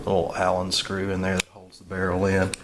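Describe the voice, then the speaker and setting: A man speaks in a fairly low voice with a Southern US accent. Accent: Southern US, remarked on own pronunciation. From US South. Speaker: gun reviewer. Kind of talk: product review. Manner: casual, halting with many fillers.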